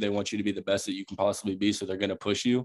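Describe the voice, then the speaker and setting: Speaking very fast in an American accent, the voice keeps a monotone, flat intonation. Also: man. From South Carolina, Charleston. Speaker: college football player. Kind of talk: casual interview.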